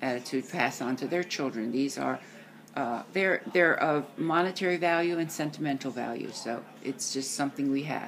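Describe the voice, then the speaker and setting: A woman with a very deep, low pitch talks at a moderate pace with ordinary pitch variation over noticeable background noise. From US, Italian-American family. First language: Italian. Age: 70s. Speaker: grandparent interviewed by grandchild. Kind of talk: family interview. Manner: halting.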